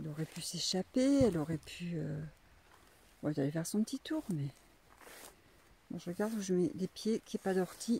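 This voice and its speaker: A woman with a fairly low pitch, a dark, mellow tone and a somewhat breathy voice speaks with very wide pitch swings and long, frequent pauses. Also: fairly quick pace. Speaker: donkey breeder. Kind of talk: casual vlog narration. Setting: outdoors. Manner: soft-spoken at times.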